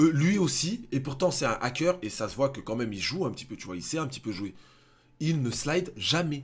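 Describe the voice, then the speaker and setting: Somewhat breathy, a man speaks with lively intonation and an animated tone. His pitch is fairly high. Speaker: gaming youtuber. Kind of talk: gaming reaction commentary.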